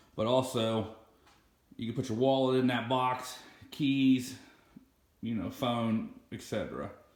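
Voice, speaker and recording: This man talks at a medium pitch. The room echo is audible. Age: 30s. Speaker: boat owner, fishing vlogger. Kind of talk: casual video tour. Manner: casual, hesitant with fillers.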